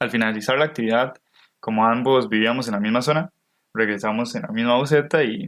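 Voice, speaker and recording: This man has an ordinary speaking voice at a medium pitch. He talks at a fairly quick pace with ordinary pitch variation. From Costa Rica. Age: 20s. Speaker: podcast co-host, university student. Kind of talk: scripted podcast narration.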